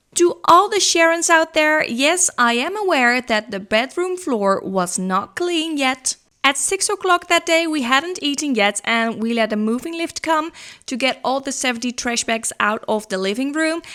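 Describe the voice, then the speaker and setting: Raised and projected, a woman's high-pitched voice has a bright, sharp tone and very wide pitch swings at a fairly slow pace, on a very clean recording with a silent background. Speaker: cleaning vlogger. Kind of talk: voiceover narration. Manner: loud.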